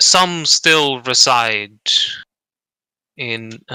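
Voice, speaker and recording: A man uses a put-on character voice at a medium pitch. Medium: actual play. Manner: solemn, archaic and formal.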